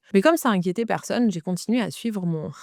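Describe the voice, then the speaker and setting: A very fast woman's voice with a dark, mellow tone and ordinary pitch variation, in a dry, close sound with no echo. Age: 30s. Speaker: podcast host, eating disorder coach. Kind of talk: personal testimony. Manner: hesitant with fillers.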